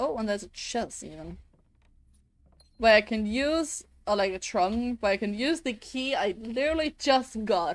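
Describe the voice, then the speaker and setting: A woman speaks with a Danish accent at a fairly high pitch and lively intonation. The recording is very clean, with a silent background. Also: moderate pace. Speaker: vtuber streamer. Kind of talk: live gameplay stream chat. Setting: live stream. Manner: halting.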